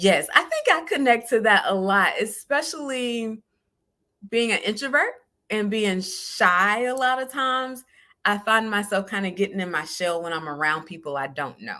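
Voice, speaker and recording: Her tone bright and sharp, a woman speaks at a moderate pace in a fairly high pitch with very wide pitch swings. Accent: Southern US. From US South, southern Georgia. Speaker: podcast host. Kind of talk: solo podcast talk.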